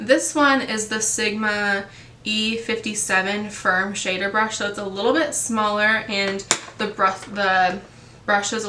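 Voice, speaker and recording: The speaker moves at a fairly slow pace with ordinary pitch variation. Audible room echo and noticeable background noise are present. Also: woman. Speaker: beauty vlogger. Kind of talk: casual tutorial talk. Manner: casual with many fillers.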